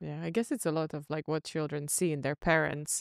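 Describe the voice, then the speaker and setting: A woman with a very deep, low pitch speaks with fairly even intonation. The sound is dry with no echo, and the background quiet. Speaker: podcast co-host; podcast host. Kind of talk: interview. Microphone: studio mic.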